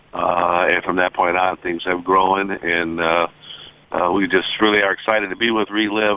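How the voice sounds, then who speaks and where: Over noticeable background noise, a man with a very deep, low pitch speaks in a flat monotone. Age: 60s. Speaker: veterinarian and product distributor. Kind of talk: testimony. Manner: halting, many fillers.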